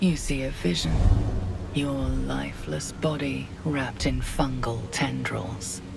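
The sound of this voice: A woman puts on a character voice at an extremely low pitch, with vocal fry and fairly even intonation. She speaks at a slow pace as clear music plays in the background.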